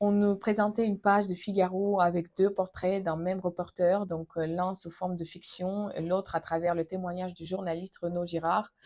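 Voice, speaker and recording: At a moderate pace, a woman delivers her words in a dark, mellow tone with monotone, flat intonation. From Ukraine. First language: Ukrainian or Russian (speaking French). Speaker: vlogger. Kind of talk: personal testimony vlog. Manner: hesitant, frequent fillers.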